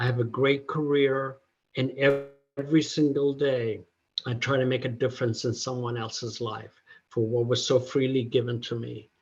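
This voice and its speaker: His delivery is monotone and flat. The man sounds somewhat breathy. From Ethiopia. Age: 60s. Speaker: peer recovery specialist. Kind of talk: testimony. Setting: conference breakout session.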